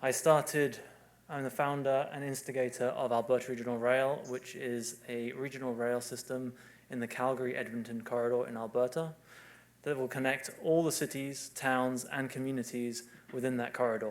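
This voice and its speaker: In a British accent, a man speaks with monotone, flat intonation. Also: medium pitch for a man, moderate pace. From UK. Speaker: civil engineer. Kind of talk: conference presentation.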